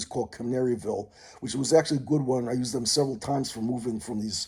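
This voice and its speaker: At a very fast pace, the voice sounds somewhat breathy, with a dark, mellow tone and ordinary pitch variation. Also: man. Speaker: vlogger. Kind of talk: rambling monologue vlog. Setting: mother's condo. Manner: halting, many fillers.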